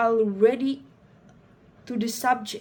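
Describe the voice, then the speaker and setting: A woman speaks high in pitch, her intonation monotone and flat. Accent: non-native. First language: not English. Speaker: student presenting a project. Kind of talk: reading aloud a school presentation. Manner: halting, many fillers and restarts.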